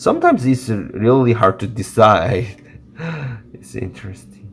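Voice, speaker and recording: A man speaks in a Korean accent with fairly even intonation. His voice is somewhat breathy. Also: medium pitch for a man, fairly slow pace. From South Korea. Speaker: watercolor artist and teacher. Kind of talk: live painting tutorial. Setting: livestream. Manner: halting.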